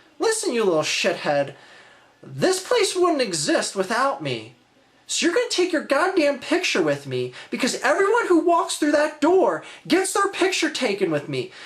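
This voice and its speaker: A high-pitched, put-on character voice. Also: moderate pace. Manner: angry, belittling.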